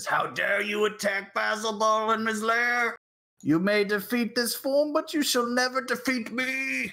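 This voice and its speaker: Shouting in a put-on character voice, the speaker pitches fairly high. The pace is moderate. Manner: angry, shouting.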